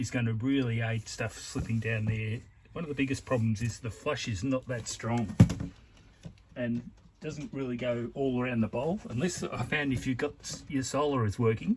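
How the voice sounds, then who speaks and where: A man with an Australian accent speaks at a moderate pace in a medium-pitched, somewhat breathy voice with ordinary pitch variation. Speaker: DIY video maker. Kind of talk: tutorial. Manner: casual, halting.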